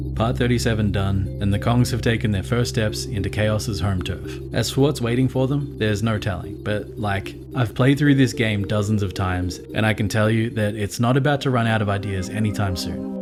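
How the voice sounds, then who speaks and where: With music in the background, a fairly low-pitched man speaks at a fairly quick pace, hardly pausing and using very wide pitch swings. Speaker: video game commentator. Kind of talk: video essay narration. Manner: casual, wry.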